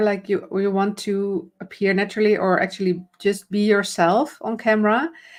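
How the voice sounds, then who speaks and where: A woman with a Dutch accent speaks at a moderate pace in a medium pitch. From Netherlands. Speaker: camera confidence coach. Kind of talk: live stream conversation. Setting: live video stream.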